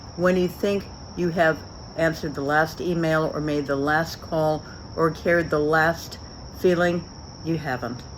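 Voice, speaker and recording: A woman speaks at a very deep, low pitch and a fairly slow pace. Her speech has long, frequent pauses. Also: fairly even intonation. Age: 60s. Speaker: business leader. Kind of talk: recorded acceptance speech.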